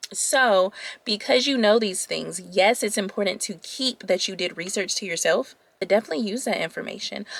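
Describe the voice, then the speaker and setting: Here is a woman with an unremarkable speaking voice. She sits at medium pitch with ordinary pitch variation. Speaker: lifestyle YouTuber giving dating advice. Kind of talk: casual chat to camera.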